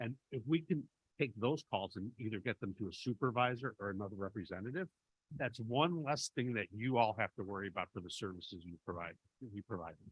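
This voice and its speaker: A man with a Chicago accent, medium in pitch, fairly quick, with lively intonation and big swings in loudness. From Chicago, US Midwest. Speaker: benefits vendor representative. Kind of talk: committee meeting presentation.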